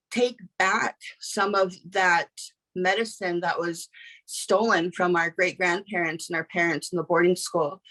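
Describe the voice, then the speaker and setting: Dry and close with no echo, a woman's bright, sharp tone sits at medium pitch, her intonation fairly even and her pace fairly slow. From Pine Ridge Reservation, South Dakota. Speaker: panel moderator and Two-Spirit youth mentor. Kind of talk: panel discussion. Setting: video call webinar. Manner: halting, many fillers.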